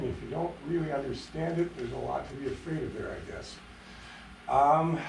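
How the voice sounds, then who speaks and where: A fairly high-pitched man with an American accent at a fairly quick pace, amid audible room echo and noticeable background noise. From Upper Michigan, US. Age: 70s. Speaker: retired pathologist, public commenter. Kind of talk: public comment at council meeting. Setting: city council meeting. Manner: halting.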